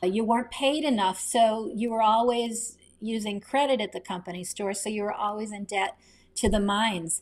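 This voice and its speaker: A woman talks in an ordinary speaking voice with an American accent, her pitch fairly high. She keeps a moderate pace, and the recording is very clean with a silent background. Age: 60s. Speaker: novelist. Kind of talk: interview.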